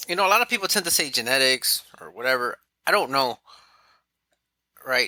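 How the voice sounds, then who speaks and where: Medium-pitched male voice, bright and sharp, with ordinary pitch variation and a dry, close sound free of echo. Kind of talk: casual interview conversation. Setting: podcast.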